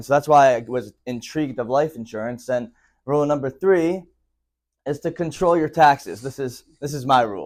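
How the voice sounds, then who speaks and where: This man has an ordinary speaking voice at medium pitch, with ordinary pitch variation and a moderate pace. The recording is very clean, with a silent background. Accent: American. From Philadelphia, US. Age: 20s. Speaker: financial educator and company founder. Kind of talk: presentation to a live audience.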